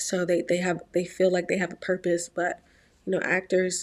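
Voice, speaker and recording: In an American accent, a woman with a medium pitch speaks at a moderate pace in a very clean recording with a silent background. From Virginia, US. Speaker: YouTuber and aspiring actress. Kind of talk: vlog monologue.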